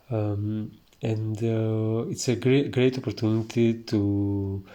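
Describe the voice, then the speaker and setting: The voice has a dark, mellow tone and a monotone, flat intonation. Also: man. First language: Greek. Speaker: iconography teacher. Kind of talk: tutorial. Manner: hesitant, many filler sounds.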